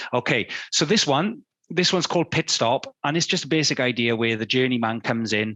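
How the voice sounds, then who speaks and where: A man with a British accent at a fairly quick pace and medium pitch, with lively intonation and very even loudness. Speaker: fine art photographer giving a talk. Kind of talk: illustrated talk. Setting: studio.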